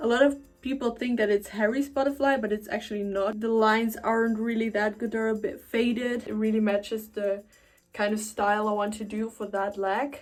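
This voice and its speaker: A woman's fairly high voice with a German accent, fairly even intonation and a fairly quick pace, music in the background. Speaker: tattoo vlogger. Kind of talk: casual vlog. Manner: hesitant, many fillers.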